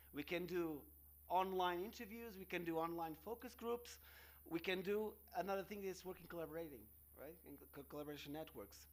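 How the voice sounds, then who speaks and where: In a Portuguese accent, the speaker moves at a fairly quick pace with ordinary pitch variation. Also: man, high pitch for a man. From Portugal. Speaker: researcher. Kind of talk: conference talk. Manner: halting.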